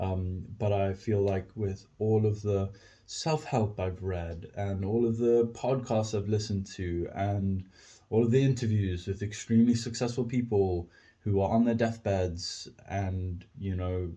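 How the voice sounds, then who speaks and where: Against a quiet background, a man speaks fairly slowly in a dark, mellow, somewhat breathy tone with fairly even intonation. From South Africa, Cape Town. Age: 20s. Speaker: podcaster. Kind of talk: casual monologue. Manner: halting, many fillers.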